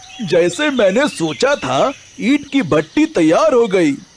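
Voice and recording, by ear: A man's put-on character voice, high-pitched, slow, with big pitch swings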